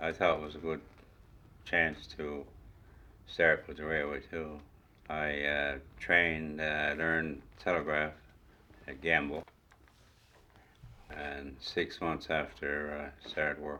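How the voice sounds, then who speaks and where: Speaking very slowly with long, frequent pauses, a man with a Newfoundland accent uses a very deep, low voice with a bright, sharp tone, flat monotone intonation and big swings in loudness. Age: old. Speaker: retired railway worker. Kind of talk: oral history interview.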